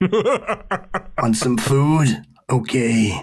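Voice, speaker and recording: A man puts on a gruff character voice. His pitch sits in the medium range. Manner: tough guy, gruff.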